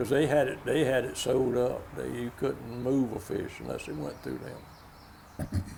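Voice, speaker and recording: The man talks at a fairly slow pace. Audible room echo surrounds his voice. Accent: coastal Georgia. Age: 80s+. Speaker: commercial fisherman. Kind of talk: casual storytelling. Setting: stage with audience.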